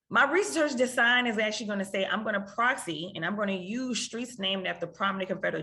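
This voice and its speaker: A woman with a New Orleans accent talks at a very fast pace. Her pitch is medium, with ordinary pitch variation. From US South, New Orleans. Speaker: economics researcher. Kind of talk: lecture.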